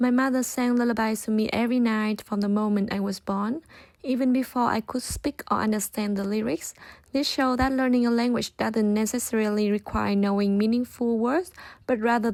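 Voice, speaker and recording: Someone with a Vietnamese accent speaks at a fairly quick pace with fairly even intonation and very even loudness. The recording is very clean, the background silent. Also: woman. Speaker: student. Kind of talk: scripted narration.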